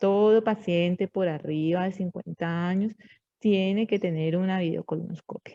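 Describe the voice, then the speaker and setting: At a fairly slow pace, a woman speaks at medium pitch with fairly even intonation and a dark, mellow tone. The sound is dry and close, with no echo. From Colombia. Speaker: medical lecturer, physician. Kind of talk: lecture. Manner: halting, with frequent fillers and checks.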